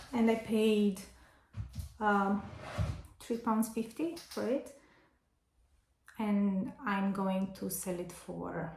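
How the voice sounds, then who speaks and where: Speaking very slowly with a Romanian accent, a woman at medium pitch leaves long, frequent pauses while her loudness swings widely. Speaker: vintage seller and vlogger. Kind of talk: casual haul vlog. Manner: hesitant, with fillers.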